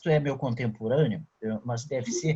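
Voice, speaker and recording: This man's voice is somewhat breathy, and he talks at a moderate pace. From southern Brazil, Rio Grande do Sul (São Borja). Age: 60s. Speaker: journalist. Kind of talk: casual chat.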